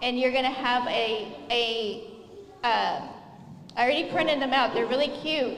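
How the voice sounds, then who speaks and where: Soft-spoken and high-pitched, a woman talks at a moderate pace amid noticeable background noise and audible room echo. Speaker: cooking class instructor for children. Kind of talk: live cooking class instruction.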